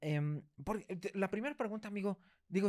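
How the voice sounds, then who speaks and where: A man speaks with a Mexican accent. His intonation is lively and his pace fairly quick. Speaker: podcast host. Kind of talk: interview. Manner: fast.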